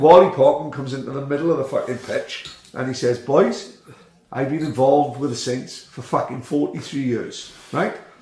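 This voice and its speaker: A man with a South Wales accent, at a moderate pace and fairly high pitch with ordinary pitch variation, amid audible room echo and noticeable background noise. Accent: South Wales Welsh English. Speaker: grassroots footballer, podcast guest. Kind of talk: casual chat. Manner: animated.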